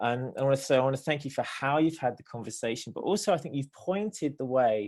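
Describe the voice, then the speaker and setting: A dark, mellow tone carries a British accent over a quiet background. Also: man. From Britain. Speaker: theologian and nonprofit director. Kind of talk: panel discussion response. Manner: hesitant, many fillers.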